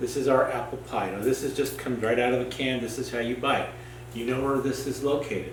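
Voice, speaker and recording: A man speaks with an American accent. Audible room echo and noticeable background noise surround him. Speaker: cooking teacher. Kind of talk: cooking tutorial. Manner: casual, hesitant with fillers.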